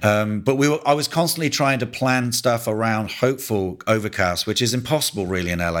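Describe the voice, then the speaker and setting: A man with an English accent talks at a fairly quick pace, his fairly low voice showing ordinary pitch variation on a very clean recording with a silent background. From England. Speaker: cinematographer. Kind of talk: interview.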